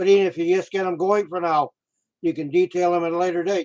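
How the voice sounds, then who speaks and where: In a dry, close recording with no echo, a man talks in a flat monotone at a high pitch. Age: 60s. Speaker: YouTube model railroader, retired bus mechanic. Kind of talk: live stream chat. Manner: halting, many fillers.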